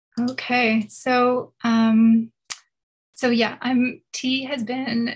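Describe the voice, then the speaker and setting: A fairly high-pitched woman's voice with monotone, flat intonation. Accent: Canadian. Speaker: environmental policy specialist. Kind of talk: presentation. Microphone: may be too quiet.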